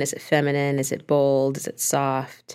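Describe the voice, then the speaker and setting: A very clean recording with a silent background, the voice carrying an American accent. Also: woman. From US West, Los Angeles. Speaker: chef. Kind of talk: interview.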